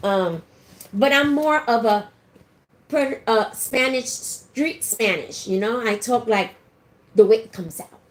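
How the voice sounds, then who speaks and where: A woman's fairly high, lively voice at a fairly slow pace, with long, frequent pauses, big swings in loudness and noticeable background noise. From New York. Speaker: podcast co-host. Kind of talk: casual chat. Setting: livestream.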